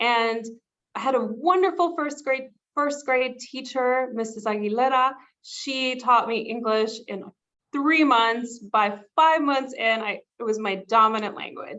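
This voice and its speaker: A woman speaks in a Spanish accent at a high pitch. She moves at a fairly slow pace. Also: ordinary pitch variation. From South Texas border, born in Mexico. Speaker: corporate professional. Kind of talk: interview.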